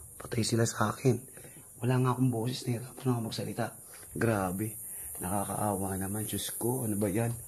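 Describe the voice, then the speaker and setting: Soft-spoken and somewhat breathy, a man talks at a fairly quick pace. His pitch is medium, with fairly even intonation. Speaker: vlogger. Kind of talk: ghost-hunting vlog narration. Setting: outdoors at night, abandoned resort. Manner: soft, weak voice.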